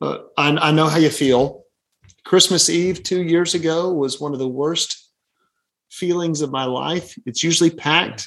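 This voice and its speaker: A fairly high-pitched man's voice in a Southern US accent. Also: ordinary pitch variation, moderate pace. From Birmingham, Alabama. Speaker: pastor. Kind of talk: casual chat.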